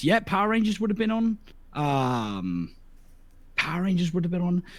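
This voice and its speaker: The man speaks with a British accent in a high pitch. His tone is bright and sharp, with very wide pitch swings. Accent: English (UK). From southern England, near Portsmouth. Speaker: streamer. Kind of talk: casual interview chat. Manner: animated, stammering restarts.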